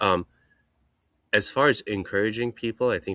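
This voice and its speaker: A man with a non-native accent at a fairly quick pace, vocal fry, and a dry, close sound with no echo. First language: not English. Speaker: hand surgeon. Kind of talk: casual chat.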